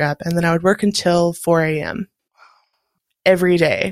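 In a very clean recording with a silent background, a woman with a plain, everyday voice speaks at a fairly low pitch with fairly even intonation. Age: 30s. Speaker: graphic designer, podcast guest. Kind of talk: interview testimony.

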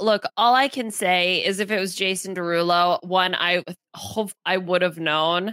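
Bright and sharp in tone, the animated voice moves at a fairly slow pace in a dry, close sound with no echo. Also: woman. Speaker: podcast co-host. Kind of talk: casual recap chat. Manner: animated, jokey.

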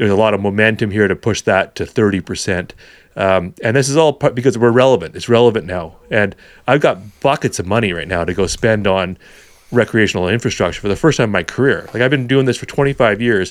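Talking very fast, a man uses a Canadian accent. His pitch is fairly low and varies in an ordinary way. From Vancouver, British Columbia, Canada. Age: 40s. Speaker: hunting educator. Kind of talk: casual chat.

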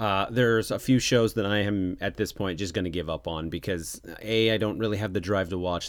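In a very clean recording with a silent background, a man talks at a fairly low pitch with fairly even intonation. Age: 40s. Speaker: podcast host. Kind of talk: casual monologue. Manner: halting.

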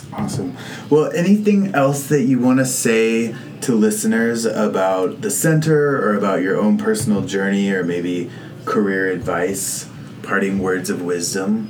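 The speaker talks at a fairly slow pace with lively intonation. Noticeable background noise runs underneath. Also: man, medium pitch for a man. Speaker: podcast host. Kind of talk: interview intro and casual chat. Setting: in person at the center's office.

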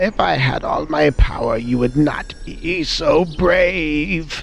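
Against clear background noise, a man uses a put-on character voice with a fairly high pitch. He speaks at a very slow pace. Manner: threatening but frail.

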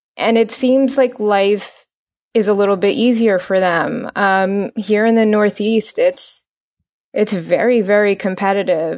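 Over a quiet background, a woman with an American accent speaks at a fairly slow pace in a normal speaking voice, fairly high in pitch, with ordinary pitch variation. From New Jersey. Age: 30s. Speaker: orthodontist. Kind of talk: interview conversation.

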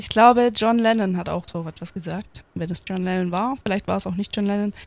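A woman with an ordinary speaking voice keeps a medium pitch and fairly even intonation while talking at a moderate pace. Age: 20s. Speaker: podcast host. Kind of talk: casual chat.

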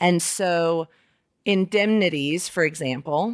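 A normal speaking voice from a woman with an American accent, fairly low in pitch, with ordinary pitch variation. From Alabama, US South. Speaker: lawyer, podcast host. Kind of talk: solo monologue. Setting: dining room at home.

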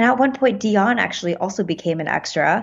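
A woman with an American accent speaks at a fairly quick pace. Her somewhat breathy voice sits at a medium pitch with ordinary variation. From US, Pittsburgh and New York City. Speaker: filmmaker and actress. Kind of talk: interview conversation. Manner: frequent laughter.

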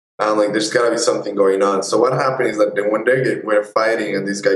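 A man with a Spanish accent talks using fairly even intonation. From Colombia and Ecuador. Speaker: photojournalist. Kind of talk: interview.

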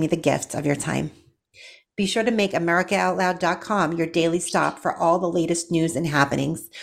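On a very clean recording with a silent background, a woman talks at a fairly quick pace, her fairly low voice carrying vocal fry and fairly even intonation. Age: 40s. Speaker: nurse and radio show host. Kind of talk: talk radio interview; scripted intro and outro.

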